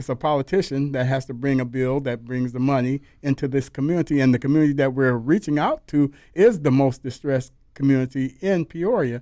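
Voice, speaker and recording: An unremarkable speaking voice belongs to a man with an American accent and a fairly high pitch. He talks at a fairly quick pace with fairly even intonation. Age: 60s. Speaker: pastor and civil rights leader. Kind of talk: radio interview.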